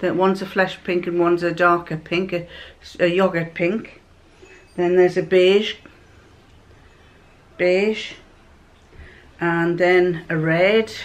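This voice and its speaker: The speech comes at a very slow pace with long, frequent pauses and monotone, flat intonation. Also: woman, fairly low pitch for a woman. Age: old. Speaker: home sewist. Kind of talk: casual show-and-tell of fabric to camera.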